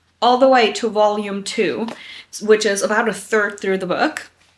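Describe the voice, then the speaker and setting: A woman with a German accent, a bright, sharp tone and a moderate pace. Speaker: booktuber. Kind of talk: casual vlog chat. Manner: casual, filler-heavy.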